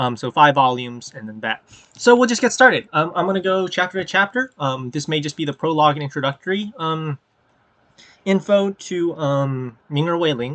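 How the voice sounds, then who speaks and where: A man talks at a fairly high pitch with lively intonation and big swings in loudness. The sound is dry and close, with no echo. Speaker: web novel reader and channel host. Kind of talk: casual reading aloud with commentary. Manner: fast; halting, many filler ums.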